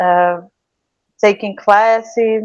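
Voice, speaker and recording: A woman with a Portuguese accent speaks at medium pitch with ordinary pitch variation. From Brazil, Piauí. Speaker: writer and cultural producer. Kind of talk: interview. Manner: halting.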